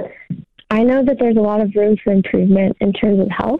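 At a moderate pace and with fairly even intonation, a woman talks in an unremarkable speaking voice. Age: 20s. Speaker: aspiring ballet dancer. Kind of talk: call-in question. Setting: phone call.

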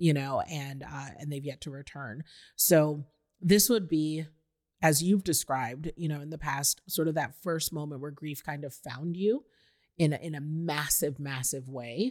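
The voice has an animated tone and big swings in loudness at a fairly slow pace. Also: woman, very deep, low pitch for a woman, ordinary pitch variation. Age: 40s. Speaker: guest acting as interviewer. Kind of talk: interview conversation. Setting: host's living room.

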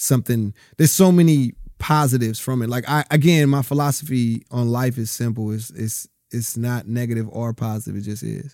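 A man with an American accent and a dark, mellow tone at a medium pitch, at a fairly quick pace with ordinary pitch variation, in a very clean recording with a silent background. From Southern California. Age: 30s. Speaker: actor. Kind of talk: casual chat. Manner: halting.

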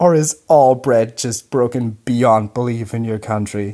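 A man with a German accent talks at a moderate pace in a dark, mellow tone. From Germany, Munich. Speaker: listener sending audio question. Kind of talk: recorded voice message. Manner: animated.

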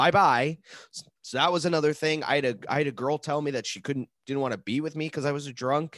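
A man talks fairly quickly at a fairly high pitch, with an ordinary speaking voice. The sound is dry and close with no echo, over a quiet background. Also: ordinary pitch variation. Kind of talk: stand-up comedy, telling a story.

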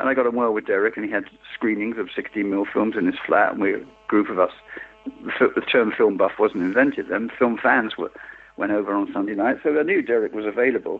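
With a London accent, a man speaks at a fairly quick pace over noticeable background noise. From East End of London. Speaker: film editor. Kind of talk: interview. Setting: phone call.

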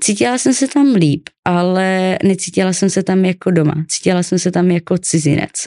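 A woman of medium pitch speaks at a moderate pace with hardly any pauses, her dark, mellow tone keeping very even loudness and ordinary pitch variation in a dry, close sound with no echo. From Czechia, Ostrava. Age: 20s. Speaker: guest sharing childhood trauma. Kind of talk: personal testimony interview. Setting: studio.

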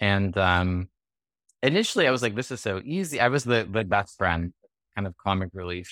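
A man's voice is recorded with a dry, close sound and no echo. His pitch varies an ordinary amount. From California. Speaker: actor. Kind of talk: interview.

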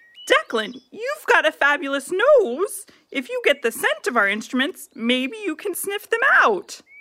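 A put-on character voice, female-sounding and extremely high, with very wide pitch swings, a moderate pace and hardly any pauses. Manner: dry, a bit grumpy, then organizing.

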